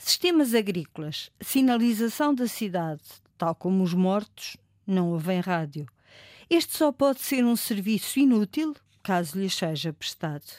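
A woman speaks at a fairly slow pace and medium pitch, with very wide pitch swings. The sound is dry and close with no echo, recorded very cleanly against a silent background. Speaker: ombudsman. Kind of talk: scripted narration.

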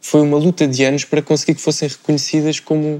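At a fairly quick pace, a man with fairly high pitch speaks in a monotone, flat intonation. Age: 20s. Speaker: professional cyclist. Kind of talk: casual panel discussion.

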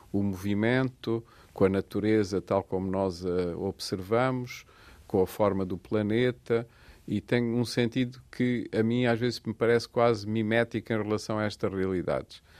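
A man with an ordinary speaking voice talks at a fairly slow pace, his pitch medium and his intonation fairly even. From Portugal, Portalegre (Alentejo). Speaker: architect. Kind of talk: radio interview.

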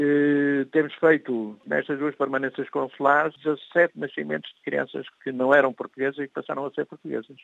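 A man speaks at a fairly high pitch in a monotone, flat way. His moderate pace has hardly any pauses, and the sound is dry and close with no echo. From Portugal, Lisbon. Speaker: community association president. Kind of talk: interview.

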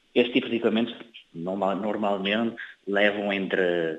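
With a northern Portuguese accent, a man speaks fairly slowly at a fairly low pitch, with ordinary pitch variation. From Cape Verde (São Filipe). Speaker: chemical engineer. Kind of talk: interview. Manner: halting, with fillers and repetitions.

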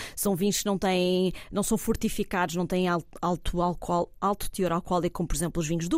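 A woman speaks at a moderate pace in a Lisbon accent. The recording is very clean, the background silent. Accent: European Portuguese (Lisbon area). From Portugal, Cascais. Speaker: wine tourism consultant. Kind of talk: casual chat. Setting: restaurant table. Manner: calm.

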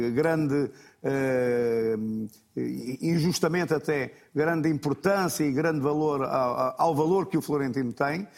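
Here a man speaks with a fairly high pitch. His pace is fairly slow and his pitch varies in an ordinary way. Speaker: football pundit, former player. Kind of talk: TV football analysis panel. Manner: repetitive, halting.

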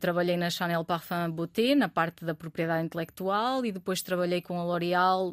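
On a very clean recording with a silent background and a dry, close sound with no echo, a woman with a Trás-os-Montes accent speaks at a moderate pace and medium pitch with ordinary pitch variation. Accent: Bragança accent, noticeable. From Portugal, Bragança (Trás-os-Montes). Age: 30s. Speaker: startup founder and CEO. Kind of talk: interview.

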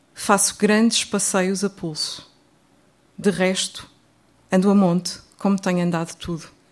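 Woman in a European Portuguese accent, medium pitch, monotone and flat, fairly slow with long, frequent pauses, on a very clean recording with a silent background. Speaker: poet. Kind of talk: poetry reading, dense imagery. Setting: stage with audience. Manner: modest, hesitant, quiet.

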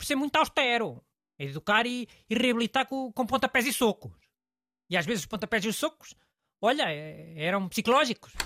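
A man with a European Portuguese accent uses a raised, projected voice at an extremely high pitch, bright and sharp in tone, moving at a fairly quick pace with lively intonation and long, frequent pauses, on a very clean, dry, close recording with no echo and a silent background. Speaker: radio host. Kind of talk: casual chat.

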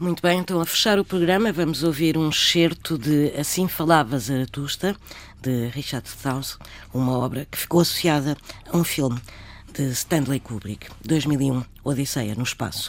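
With ordinary pitch variation, a woman talks at a moderate pace in a very deep, low pitch. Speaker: radio host. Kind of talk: interview.

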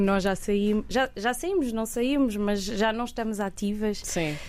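A woman speaks fairly slowly with fairly even intonation. Her voice is fairly high, with a dark, mellow tone. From Portugal, Coimbra. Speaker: singer. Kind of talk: radio interview. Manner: halting, many fillers and repetitions.

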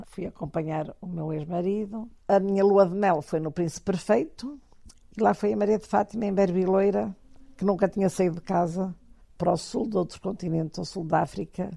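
Her voice dark and mellow at medium pitch, a woman speaks at a moderate pace with ordinary pitch variation. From Portugal, Porto. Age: 70s. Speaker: kite collector. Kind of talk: interview testimony.

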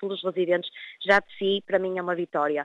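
Speaking at a fairly quick pace, a woman uses an ordinary speaking voice at a medium pitch. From northern Portugal, Vila do Conde. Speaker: nurse. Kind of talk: interview.

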